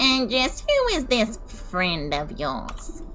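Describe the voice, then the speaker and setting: Over clear background noise, a put-on character voice moves at a very slow pace. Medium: game stream. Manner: gruff, wary.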